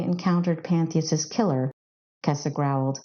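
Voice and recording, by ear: Her pitch low, a woman speaks in a slightly mellow tone with ordinary pitch variation.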